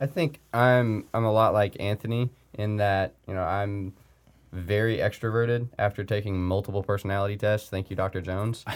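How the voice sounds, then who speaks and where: Fairly even intonation and moderate pacing in an ordinary speaking voice. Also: man, fairly low pitch for a man. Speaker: college baseball player. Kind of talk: casual interview.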